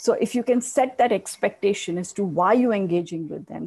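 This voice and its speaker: Speaking at a very fast pace, a woman has a dark, mellow tone and ordinary pitch variation. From India. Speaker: communications director. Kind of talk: panel discussion.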